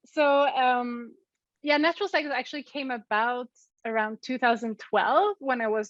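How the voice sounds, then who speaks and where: With a Swedish accent, a woman speaks at a moderate pace and a fairly high pitch. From Sweden. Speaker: physicist and app co-founder. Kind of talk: interview. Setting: remote call.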